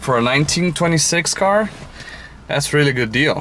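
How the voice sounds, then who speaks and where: A man speaks with a Brazilian Portuguese accent and ordinary pitch variation. Noticeable background noise fills the recording. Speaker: car enthusiast vlogger. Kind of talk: casual walkaround vlog. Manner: halting, many fillers.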